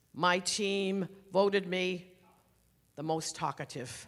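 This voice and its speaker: A raised, projected voice with a bright, sharp tone and an animated delivery. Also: woman. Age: 70s. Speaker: education consultant. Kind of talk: seminar talk. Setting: stage with audience.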